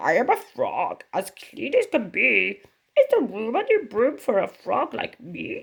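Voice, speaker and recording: A croaky, high-pitched put-on character voice delivers its lines at a fairly slow pace. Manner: polite, sing-song.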